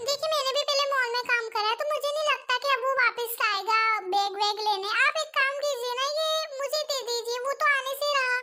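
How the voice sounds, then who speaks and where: This is a put-on character voice. It moves at a fairly quick pace with fairly even intonation. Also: woman, extremely high pitch for a woman. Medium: fan dub.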